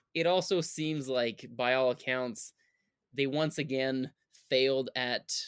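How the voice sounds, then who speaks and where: The recording is very clean, with a silent background and a dry, close sound with no echo. Pitch variation is ordinary. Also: man. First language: not English. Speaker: podcast co-host. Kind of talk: casual chat. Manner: halting.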